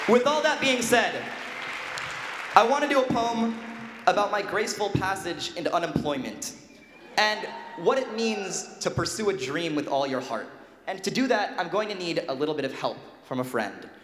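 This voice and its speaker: Amid noticeable background noise, a man with a high pitch talks at a moderate pace, making very wide pitch swings and taking long, frequent pauses. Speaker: spoken word poet. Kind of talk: stage talk to a live audience.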